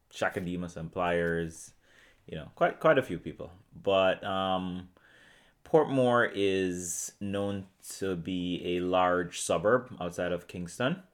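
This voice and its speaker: With a Jamaican accent, a man speaks very slowly in a very deep, low voice. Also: ordinary pitch variation. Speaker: orthodontist.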